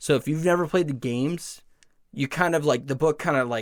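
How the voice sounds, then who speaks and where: The background is silent and the recording very clean. A man is the speaker. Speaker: podcast co-host. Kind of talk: casual podcast chat. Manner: fast; animated.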